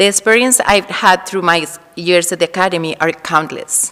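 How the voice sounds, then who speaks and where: Noticeable background noise sits under this recording of a woman. Her pitch is fairly low, and her pace is fairly quick. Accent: Spanish. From Colombia. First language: Spanish. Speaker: Spanish teacher. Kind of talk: farewell speech at school assembly.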